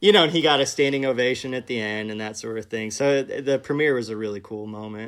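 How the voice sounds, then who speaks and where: Delivered at a very fast pace in an American accent, the voice swings widely in loudness while its pitch varies in an ordinary way. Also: man, medium pitch for a man, hardly any pauses. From Kansas City, US Midwest. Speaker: film director. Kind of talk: casual interview. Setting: video call.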